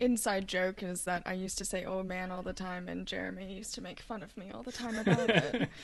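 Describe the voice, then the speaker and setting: A woman speaks at a fairly quick pace with hardly any pauses. Her medium-pitched voice carries vocal fry. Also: ordinary pitch variation, big swings in loudness. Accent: American. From Louisville, Kentucky, US. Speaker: chef. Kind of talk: casual chat.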